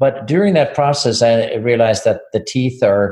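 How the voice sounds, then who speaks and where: With a Swedish accent, a man talks at a moderate pace and medium pitch. His voice is somewhat breathy. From Sweden. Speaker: physician and business owner. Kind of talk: interview. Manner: halting, repeats words.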